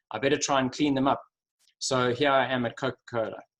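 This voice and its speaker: With a Durban accent, a man speaks at a fairly quick pace, using a medium pitch and fairly even intonation. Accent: South African (Durban). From South Africa, Durban. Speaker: sustainability executive. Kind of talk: webinar presentation. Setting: video call.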